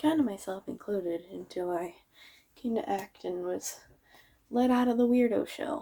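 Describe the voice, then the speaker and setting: Mumbling with long, frequent pauses, a woman has a dark, mellow tone and lively intonation. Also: medium pitch for a woman, moderate pace. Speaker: vlogger. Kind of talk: casual monologue.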